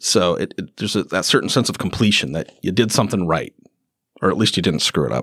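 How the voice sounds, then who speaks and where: A man's very deep, low voice with vocal fry and lively intonation at a very fast pace, dry and close with no echo. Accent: Upper Midwest. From northwestern Wisconsin. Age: 50s. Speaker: documentary filmmaker. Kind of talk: casual chat. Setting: community event.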